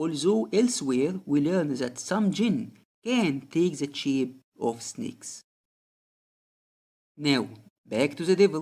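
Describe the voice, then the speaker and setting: With a non-native accent, the speaker talks at a very slow pace with long, frequent pauses on a very clean recording with a silent background. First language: not English. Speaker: religious commentary video creator. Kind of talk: scripted narration.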